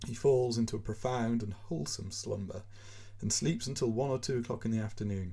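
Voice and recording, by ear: This is someone reading aloud in a natural voice, with ordinary pitch variation.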